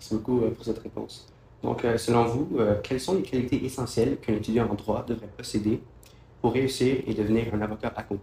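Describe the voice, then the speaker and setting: A man speaks fairly quickly at a medium pitch, in a dark, mellow tone. His voice is somewhat breathy, with fairly even intonation. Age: young. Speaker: student podcast host. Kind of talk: interview.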